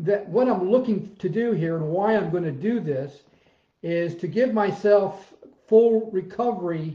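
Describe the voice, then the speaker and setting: Against a quiet background with audible room echo, a man with a high pitch and a dark, mellow tone talks at a fairly slow pace, his pitch varying in an ordinary way. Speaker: fitness coach. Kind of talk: casual vlog chat. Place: home room. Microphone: webcam.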